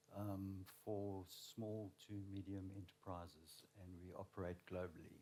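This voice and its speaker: Speaking with a South African accent, a man has a dark, mellow tone and a fairly low pitch. He talks at a fairly slow pace with fairly even intonation. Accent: South African, flat. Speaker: learning and development manager. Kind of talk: panel discussion.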